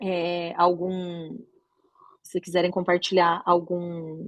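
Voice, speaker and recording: A woman speaks at a fairly low pitch. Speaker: oral and maxillofacial surgeon teaching doctors. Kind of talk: lecture.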